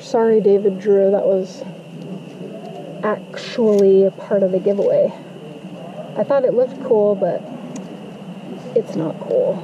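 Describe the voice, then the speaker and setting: Over noticeable background noise, a woman talks at a fairly slow pace with fairly even intonation and long, frequent pauses. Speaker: travel vlogger. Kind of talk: casual vlog chat. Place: open country. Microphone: camera far.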